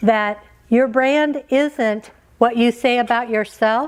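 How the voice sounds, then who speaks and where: Very slowly, a woman speaks in a fairly high pitch with ordinary pitch variation. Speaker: keynote speaker. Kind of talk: motivational keynote speech. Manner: humorous.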